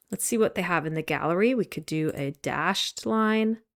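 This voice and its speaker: A woman speaks at a moderate pace with lively intonation. The recording is very clean and dry, close-sounding with no echo against a silent background. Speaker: instructor. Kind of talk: tutorial.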